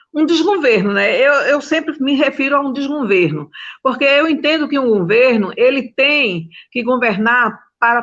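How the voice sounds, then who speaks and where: This woman speaks at a moderate pace in a high voice with lively intonation. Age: 60s. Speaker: domestic workers' union leader. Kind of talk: panel talk on video call.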